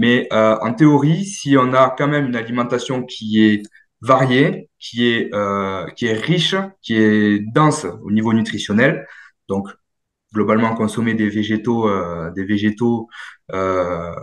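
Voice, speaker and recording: A man with a medium pitch and ordinary pitch variation speaks at a very slow pace. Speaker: dietitian nutritionist and sports coach. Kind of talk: workshop Q&A answer.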